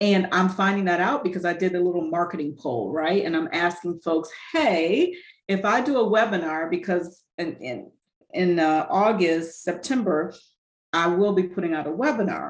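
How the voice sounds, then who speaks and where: Moderate tempo and ordinary pitch variation in an ordinary speaking voice. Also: woman, fairly low pitch for a woman. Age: 50s. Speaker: fitness and nutrition coach, retired educator. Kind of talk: casual interview chat.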